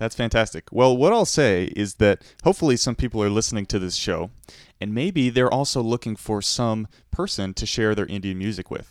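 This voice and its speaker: Recorded very cleanly against a silent background, a man with an ordinary speaking voice talks at a fairly quick pace, medium pitch and ordinary pitch variation, in a dry, close sound with no echo. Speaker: radio host. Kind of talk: radio interview.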